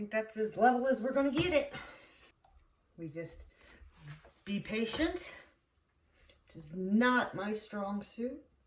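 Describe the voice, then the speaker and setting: Speaking at a fairly slow pace with long, frequent pauses, a woman with a fairly high voice moves through very wide pitch swings and big swings in loudness. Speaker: soap maker. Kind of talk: tutorial. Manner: casual, talking half to herself; quiet, whispering.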